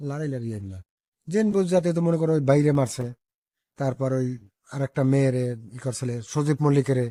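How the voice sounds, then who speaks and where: Speaking with a Barishal accent, a man has a fairly high pitch, a dark, mellow tone and ordinary pitch variation. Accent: Barishal dialect of Bengali. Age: 70s. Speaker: village elder, local resident. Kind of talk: interview testimony.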